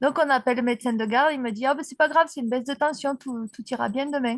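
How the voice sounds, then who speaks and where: The voice belongs to a woman and sits high. Its intonation remains fairly even. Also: dry, close sound with no echo. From southern France, Aveyron (Rodez), Occitanie. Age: 40s. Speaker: para-dressage rider. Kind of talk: interview, personal life story.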